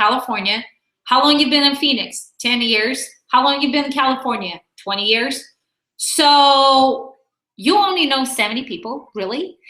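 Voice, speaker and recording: In a Russian accent, a woman speaks at a moderate pace in a high, bright, sharp voice that is raised and projected, her tone animated and her intonation lively. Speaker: direct sales team leader. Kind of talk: training webinar.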